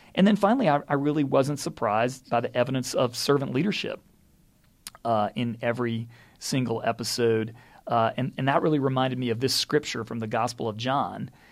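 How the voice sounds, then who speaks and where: In a very clean recording with a silent background, a normal speaking voice moves at a fairly quick pace. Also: man, medium pitch for a man, ordinary pitch variation. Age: 50s. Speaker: head of school. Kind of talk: solo podcast reflection. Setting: office.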